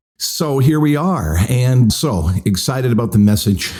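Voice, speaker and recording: Somewhat breathy and dark, mellow in tone, a man speaks at a fairly slow pace with very wide pitch swings. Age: 60s. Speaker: pastor. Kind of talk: podcast sermon. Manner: conversational.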